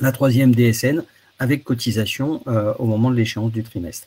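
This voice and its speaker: Here a man speaks at a medium pitch with ordinary pitch variation. His tone is dark and mellow, and somewhat breathy. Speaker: webinar presenter. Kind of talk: webinar presentation. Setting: online webinar. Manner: fast; hesitant, repeats words.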